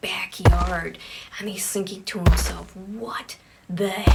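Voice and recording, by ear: The text is read aloud in a natural voice.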